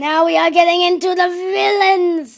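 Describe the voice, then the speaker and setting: A woman does a put-on character voice pitched extremely high. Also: moderate pace. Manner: theatrical.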